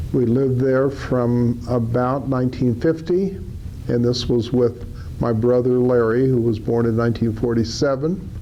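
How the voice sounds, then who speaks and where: With an American accent, a man of medium pitch talks at a moderate pace with ordinary pitch variation and very even loudness, with audible room echo. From Denver, Colorado, US. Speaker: retired judge and attorney. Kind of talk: oral history interview. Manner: measured, with frequent fillers.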